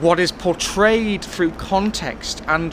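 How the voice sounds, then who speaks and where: Noticeable background noise runs behind this man. He speaks at a fairly slow pace. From West Wales. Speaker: theatre reviewer. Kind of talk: casual spoken review. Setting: outdoors on a train station platform. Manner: hesitant, many fillers and restarts.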